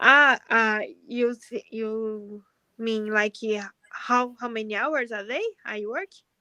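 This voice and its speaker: A woman's fairly high, bright and sharp voice at a very slow pace. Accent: strong Brazilian. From Brazil. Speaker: pharmacist practising English. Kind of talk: casual chat. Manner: halting.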